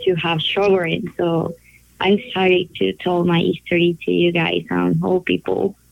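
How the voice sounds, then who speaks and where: A woman speaks at a very slow pace in a Spanish accent. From Colombia. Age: 20s. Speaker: patient sharing her diagnosis story. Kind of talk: interview testimony. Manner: halting.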